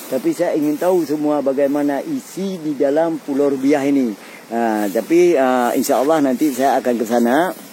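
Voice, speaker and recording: Someone speaks with an Acehnese accent at a moderate pace. There is noticeable background noise. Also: man, fairly high pitch for a man, ordinary pitch variation, hardly any pauses. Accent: Acehnese accent in Indonesian. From Aceh, Indonesia. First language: Acehnese (speaking Indonesian). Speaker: TV presenter. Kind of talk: on-location travel report. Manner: halting, many fillers.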